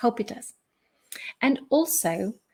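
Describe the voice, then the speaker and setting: A somewhat breathy woman's voice with a German accent. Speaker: life and business coach. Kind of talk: live stream motivational talk. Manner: halting, with fillers and repeats.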